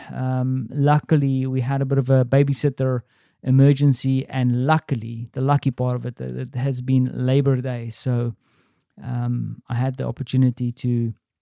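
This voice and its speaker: Someone speaks in a South African accent at a moderate pace, with a dark, mellow tone and monotone, flat intonation. The recording is very clean with a silent background and a dry, close sound with no echo. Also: man, medium pitch for a man. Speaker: podcaster. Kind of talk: personal vlog monologue. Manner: casual, with frequent fillers.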